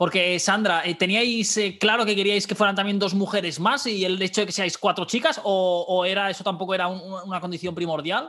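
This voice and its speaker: A man with a high pitch and ordinary pitch variation speaks in a raised, projected voice with a bright, sharp tone, at a fairly quick pace with hardly any pauses. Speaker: podcast host. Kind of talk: interview. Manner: halting.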